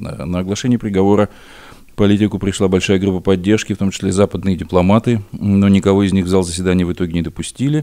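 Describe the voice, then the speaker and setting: Against a silent background in a very clean recording, a man with a dark, mellow tone and fairly low pitch talks very fast with fairly even intonation. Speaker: historian and radio co-host. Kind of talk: radio news commentary. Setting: studio. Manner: halting, with filler sounds.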